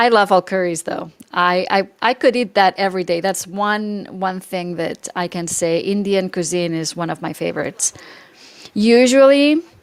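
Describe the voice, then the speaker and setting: Fairly slow, medium-pitched female speech with ordinary pitch variation against noticeable background noise. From Spain, Catalonia (Barcelona area). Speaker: lifestyle YouTuber. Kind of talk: casual live-stream chat. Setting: live stream. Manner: animated.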